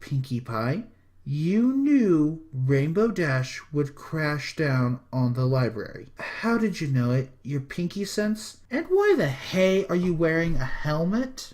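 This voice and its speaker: This is a put-on character voice at a middle pitch. It moves at a fairly slow pace with hardly any pauses. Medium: read story. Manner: firm, scolding.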